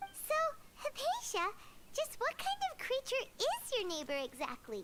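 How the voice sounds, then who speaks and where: A squeaky put-on character voice at an extremely high pitch, with very wide pitch swings and a moderate pace, sounds over loud background noise. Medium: video game. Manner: lively, inquisitive.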